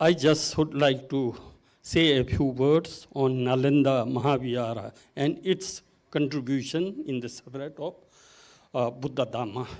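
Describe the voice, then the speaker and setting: Speech comes at a somewhat unhurried rate, and the pitch varies in an ordinary way. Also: man, medium pitch for a man. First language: not English. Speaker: conference moderator. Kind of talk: conference panel moderation and presentation. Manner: halting, many fillers.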